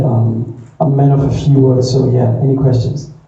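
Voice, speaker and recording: Amid audible room echo, a man with a dark, mellow, somewhat breathy medium-pitched voice speaks at a fairly slow pace in a monotone, flat intonation. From South Africa, Thaba Nchu (Free State). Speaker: artist manager. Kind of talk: conference panel talk. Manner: halting.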